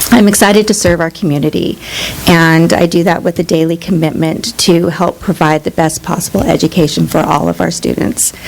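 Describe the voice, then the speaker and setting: A shaky woman's voice, fairly low in pitch, at a fairly quick pace, over noticeable background noise. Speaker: new district staff member. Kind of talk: introductory remarks. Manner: shaky voice.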